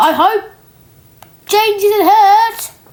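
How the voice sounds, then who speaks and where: A woman speaks in a put-on character voice. Her pitch is extremely high. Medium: read story. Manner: cheeky.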